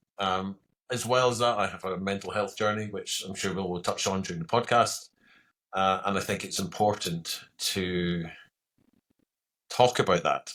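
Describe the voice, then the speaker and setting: Speaking in a Scottish accent at a moderate pace, the voice keeps a fairly even intonation and takes long, frequent pauses. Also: man, fairly low pitch for a man, very clean recording, silent background. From Scotland. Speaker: retired military pilot turned coach. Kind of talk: podcast interview.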